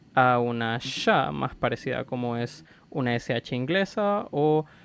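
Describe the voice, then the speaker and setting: A man talks at a medium pitch. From Chile. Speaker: language content creator. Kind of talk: educational explainer. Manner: casual, conversational.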